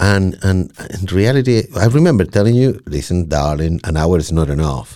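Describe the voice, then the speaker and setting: A man speaks with a very deep, low voice and lively intonation. His pace is moderate, with hardly any pauses. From Chile. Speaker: podcaster. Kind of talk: casual chat. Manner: repeats words, halting starts.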